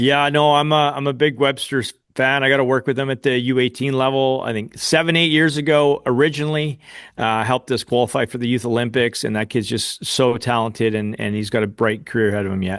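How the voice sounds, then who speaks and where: A plain, everyday voice with a Canadian accent, a fairly quick pace, and ordinary pitch variation. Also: man, medium pitch for a man. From Canada. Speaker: rugby coach and podcast co-host. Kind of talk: podcast chat.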